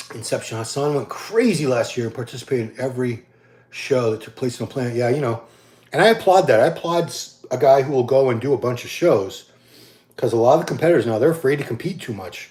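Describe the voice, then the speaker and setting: With lively intonation and big swings in loudness, a man talks fairly quickly in a normal speaking voice at medium pitch. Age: 50s. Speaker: bodybuilding commentator answering live questions. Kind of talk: casual live-stream Q&A. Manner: casual, with many false starts and fillers.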